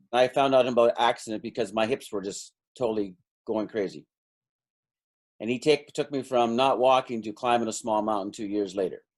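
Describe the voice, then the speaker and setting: In a plain, everyday voice with a Canadian accent, the speaker talks at a fairly quick pace with fairly even intonation, in a very clean recording with a silent background. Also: man, medium pitch for a man. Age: 60s. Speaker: energy healing practitioner and stockbroker coach. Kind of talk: interview.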